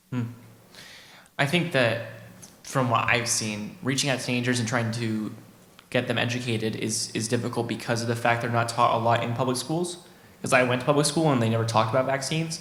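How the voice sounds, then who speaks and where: Long, frequent pauses break up a man's speech, which has fairly even intonation. Audible room echo surrounds him. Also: medium pitch for a man, fairly quick pace. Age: young. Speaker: young vaccine advocate. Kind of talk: panel discussion. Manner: fast.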